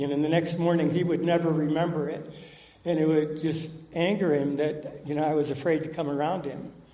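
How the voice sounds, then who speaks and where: Over noticeable background noise and audible room echo, a man with a fairly high pitch speaks in a monotone, flat intonation. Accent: American. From Southern California. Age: 70s. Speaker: recovering alcoholic speaker. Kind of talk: recovery talk testimony. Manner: casual, many fillers.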